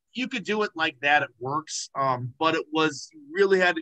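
A man with an American accent, bright, sharp tone and a quiet background. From Indiana, near Chicago. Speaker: model railroad hobbyist, youth director. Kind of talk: video call presentation. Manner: casual with many fillers. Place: home room. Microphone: video call.

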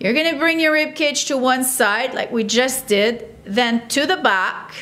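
The voice has a bright, sharp tone and moves at a very slow pace. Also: woman. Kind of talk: exercise class instruction. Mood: calm, encouraging. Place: studio.

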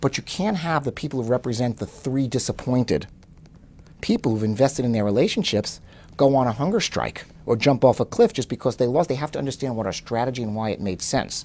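At a very fast pace, a man speaks with ordinary pitch variation. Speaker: interviewee. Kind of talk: interview answer. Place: office.

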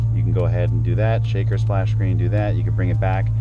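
The man's voice sounds dry with no echo, set against loud background noise. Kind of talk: tutorial. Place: car.

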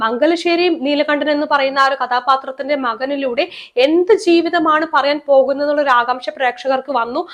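A woman speaks with a high pitch and fairly even intonation. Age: 30s. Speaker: YouTuber, film commentator. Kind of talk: video monologue, film commentary.

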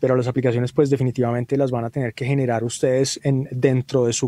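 The man's voice is dark and mellow at a medium pitch, delivered in a monotone, flat intonation with a dry, close sound and no echo. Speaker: mastering engineer. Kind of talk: webinar lecture.

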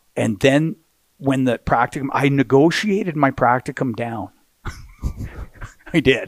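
A man speaks at a fairly slow pace with lively intonation and long, frequent pauses, the sound dry with no echo against a quiet background. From Canada. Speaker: hockey play-by-play announcer. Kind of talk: podcast interview answer. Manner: energetic, enthusiastic. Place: studio. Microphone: headset.

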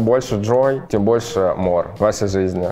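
Faint music plays in the background as a man speaks at a medium pitch with ordinary pitch variation. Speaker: fashion YouTuber. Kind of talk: casual unboxing vlog. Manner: animated. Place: studio. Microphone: lapel.

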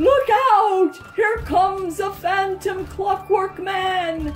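With faint music in the background, a woman uses a put-on character voice that is shrill and shaky, extremely high in pitch, very slow, and fairly even in intonation.

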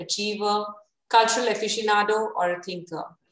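A woman talks at a moderate pace, with audible room echo. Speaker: host of an interview series. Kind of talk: formal introduction of a guest. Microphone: video call.

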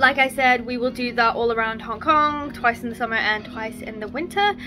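A high-pitched woman at a moderate pace, with clear music in the background. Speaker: marine biologist vlogger. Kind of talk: casual vlog chat. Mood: relaxed, content. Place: home room. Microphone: phone near.

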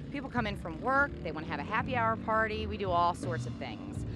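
A woman is heard with music in the background. The sound is dry, with no echo. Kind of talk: interview answer. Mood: friendly promotional. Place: street. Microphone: handheld.

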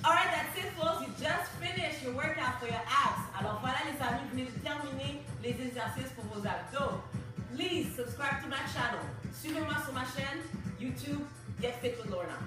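With clear music in the background and audible room echo, a woman talks at a fairly quick pace. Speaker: fitness instructor. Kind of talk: workout instruction and channel outro. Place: home room. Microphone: camera far.

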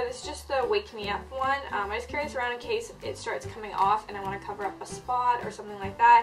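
A woman talking at a fairly quick pace over clear background music. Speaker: beauty vlogger. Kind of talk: casual vlog chat. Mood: light, cheerful. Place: home room. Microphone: camera far.

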